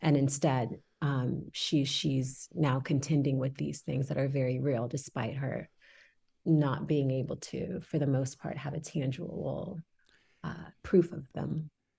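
This woman has a very deep, low pitch and a dark, mellow tone, somewhat breathy, speaking at a fairly slow pace with fairly even intonation. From Houston, Texas (born in Senegal, moved at six). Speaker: actor. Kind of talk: interview.

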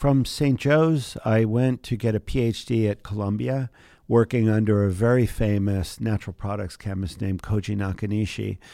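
Dark, mellow male voice with an American accent, fairly low pitch, ordinary pitch variation, a moderate pace and hardly any pauses, on a very clean recording with a silent background. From US, southern New Jersey. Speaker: chemist and biotech entrepreneur. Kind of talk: interview. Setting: studio.

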